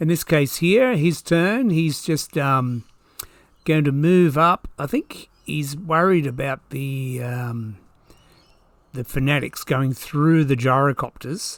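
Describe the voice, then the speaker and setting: Speaking at a very slow pace with an Australian accent, a man has fairly high pitch and ordinary pitch variation. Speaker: tabletop wargamer. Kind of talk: battle report commentary. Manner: casual.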